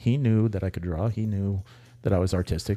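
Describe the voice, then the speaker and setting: A man talks at a moderate pace in a fairly low voice with a dark, mellow tone and ordinary pitch variation. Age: 60s. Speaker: podcast co-host, tattoo artist. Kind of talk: casual chat.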